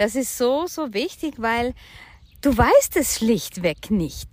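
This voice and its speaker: At a very slow pace, a woman with a high pitch speaks in lively intonation. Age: 50s. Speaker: podcast co-host on personal finance and crypto. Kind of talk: casual chat.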